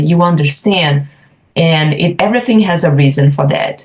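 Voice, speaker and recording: A woman speaks at a fairly slow pace, her voice somewhat breathy. Her pitch varies in an ordinary way. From Brazil. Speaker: professional home organizer. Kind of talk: podcast interview.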